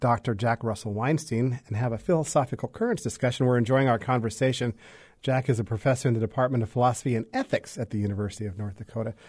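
On a very clean recording with a silent background, a man talks at a very fast pace in a somewhat breathy voice of medium pitch. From Wyoming. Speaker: radio host. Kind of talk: radio interview.

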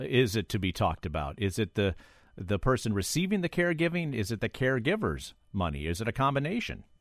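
A man talks at a fairly quick pace with vocal fry, his medium pitch swinging very widely. The sound is dry and close, with no echo. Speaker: radio host. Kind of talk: radio call-in show. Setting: studio.

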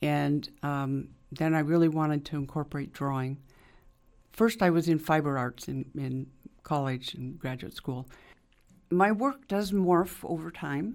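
Speaking at a fairly slow pace with long, frequent pauses, a woman uses a very deep, low pitch and ordinary pitch variation. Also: very clean recording, silent background. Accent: American. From eastern Oregon. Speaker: artist. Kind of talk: interview. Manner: halting.

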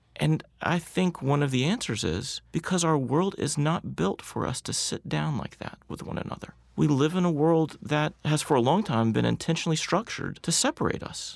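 A man with a Southern US accent speaks with hardly any pauses on a very clean recording with a silent background. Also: fairly high pitch for a man, moderate pace. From US South. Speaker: nonprofit co-founder with a congregational background. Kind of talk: radio interview. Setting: studio.

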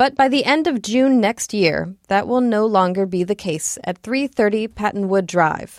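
Speaking in an ordinary speaking voice at a moderate pace, a woman has a medium pitch, lively intonation and hardly any pauses. The recording is very clean, with a silent background and a dry, close sound with no echo. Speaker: education reporter. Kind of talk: scripted radio news report. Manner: clear, measured, steady reporter delivery.

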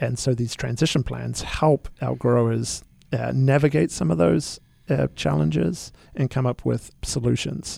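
A man with a New Zealand accent and a very deep, low pitch talks at a fairly slow pace, his dark, mellow tone moving through very wide pitch swings. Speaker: winery managing director. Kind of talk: radio interview.

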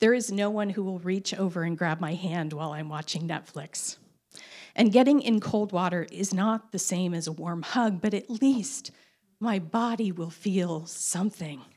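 A woman's normal speaking voice, medium in pitch with ordinary pitch variation, at a moderate pace on a very clean recording with a silent background. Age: 50s. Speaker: storyteller. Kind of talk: personal story told to an audience.

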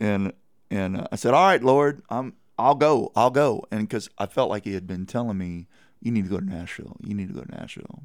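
Talking at a fairly quick pace with a Texan accent, a man uses medium pitch, lively intonation and big swings in loudness. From Texas Hill Country (Kerrville). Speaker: singer-songwriter. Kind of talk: radio interview.

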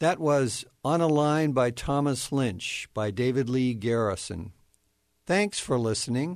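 Against a quiet background, a man with a normal speaking voice speaks at a medium pitch and a fairly slow pace with lively intonation. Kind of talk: poetry reading, own poem read aloud. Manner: measured, solemn, contemplative.

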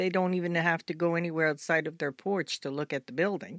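A woman with an American accent has an unremarkable speaking voice, pitched fairly low. She speaks at a moderate pace with fairly even intonation on a very clean recording with a silent background. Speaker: community leader. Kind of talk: radio interview. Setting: studio.

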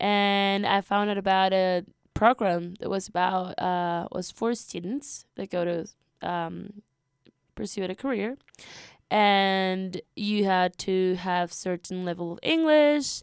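A woman with a Spanish accent speaks very slowly at a medium pitch with ordinary pitch variation, in a very clean recording with a silent background and a dry, close sound with no echo. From Peru. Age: 20s. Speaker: college student. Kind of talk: radio interview. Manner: hesitant, many fillers.

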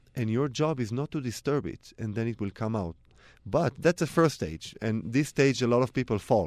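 A moderate pace and lively intonation in an Israeli accent, dry and close with no echo. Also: man. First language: Hebrew. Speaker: cellist. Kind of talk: interview.

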